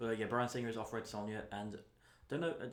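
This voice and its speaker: Audible room echo surrounds a man with a British accent and fairly low pitch. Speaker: podcast co-host. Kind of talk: casual chat.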